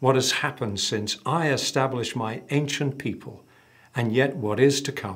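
The pace is fairly slow as a man speaks. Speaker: church minister. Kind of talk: scripture reading and prayer. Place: studio.

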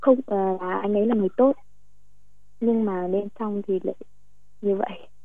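This woman speaks at a medium pitch. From Thanh Hoa, north-central Vietnam. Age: 20s. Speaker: caller. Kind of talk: personal testimony on call-in advice show. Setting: phone call. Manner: halting.

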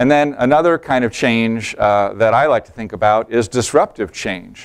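A male speaker talks. Nothing much sounds behind him, as the background is quiet. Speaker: presenter. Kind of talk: presentation talk. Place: hall. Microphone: lapel.

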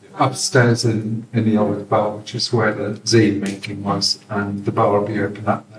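The voice moves at a moderate pace with hardly any pauses and a flat, monotone delivery. Room echo is audible, and light noise sits in the background. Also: man, fairly low pitch for a man, big swings in loudness. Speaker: community education event organiser. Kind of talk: event hosting. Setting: in-person community event with audience. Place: hall. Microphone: camera far.

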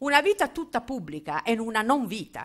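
A woman's bright, sharp tone over a quiet background. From Emilia-Romagna, Italy. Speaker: political theory professor. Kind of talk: public lecture. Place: hall. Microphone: podium.

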